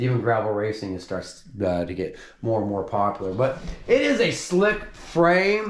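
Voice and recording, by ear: With lively intonation and a fairly low pitch, a man talks at a moderate pace.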